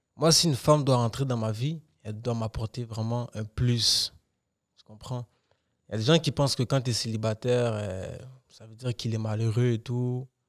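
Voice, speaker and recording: A plain, everyday voice at a moderate pace, fairly even in intonation, with big swings in loudness over a quiet background. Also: man, medium pitch for a man. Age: 20s. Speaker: podcast co-host. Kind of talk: casual chat. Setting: studio. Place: studio. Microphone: studio mic.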